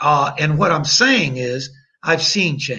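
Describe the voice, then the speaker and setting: A man with an American accent and a bright, sharp tone, at a fairly high pitch with ordinary pitch variation, plus audible room echo. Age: 60s. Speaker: attorney. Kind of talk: podcast interview. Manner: long-winded.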